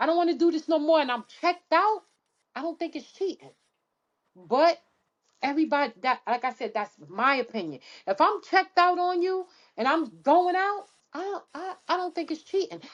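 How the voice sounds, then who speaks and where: Loud, animated speech at a moderate pace, with lively intonation, long and frequent pauses, and a quiet background. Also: woman, extremely high pitch for a woman. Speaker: podcast co-host. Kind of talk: casual chat.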